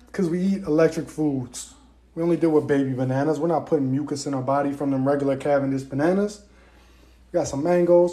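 A dark, mellow tone carries speech delivered at a very fast pace. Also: man, fairly high pitch for a man. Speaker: holistic health influencer; diet coach. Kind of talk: casual monologue. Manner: loud, yelling passionately; energetic. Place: kitchen. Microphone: phone near.

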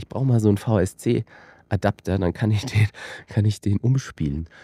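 In a quiet setting with a dry, echo-free sound, a man speaks at a moderate pace with a somewhat breathy, dark, mellow tone, a fairly low pitch and ordinary pitch variation. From rural Austria. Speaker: filmmaker and company director; guest. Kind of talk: casual interview. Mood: relaxed, reflective. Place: studio. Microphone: studio mic.

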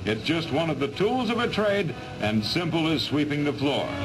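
Clear music plays in the background as a man talks at a moderate pace with very wide pitch swings. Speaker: newsreel narrator. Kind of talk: 1940s newsreel narration. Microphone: old recording.

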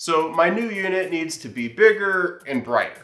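A man's voice, moving at a moderate pace, carries audible room echo. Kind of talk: tutorial vlog intro. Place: workshop.

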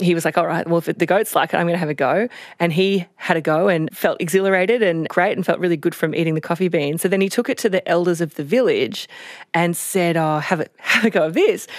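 A woman with an Australian accent talks very fast at a fairly low pitch with ordinary pitch variation, recorded very cleanly against a silent background. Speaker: health reporter. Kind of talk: casual chat. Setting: studio.

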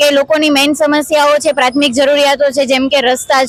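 A woman with a high-pitched voice talks over noticeable background noise. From Gujarat, Junagadh. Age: 20s. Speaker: local election candidate. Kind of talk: interview.

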